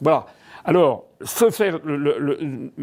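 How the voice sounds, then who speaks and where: The speaker is a man. His intonation is lively. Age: 60s. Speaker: politician. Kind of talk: political monologue. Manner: halting.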